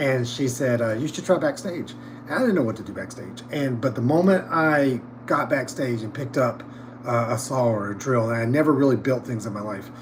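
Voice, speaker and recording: In a Southern US accent, a man talks at a fairly quick pace and medium pitch with ordinary pitch variation, amid audible room echo and noticeable background noise. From North Carolina, US South. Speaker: theatre props department head. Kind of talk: casual interview chat. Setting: livestream backstage. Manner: halting, many fillers.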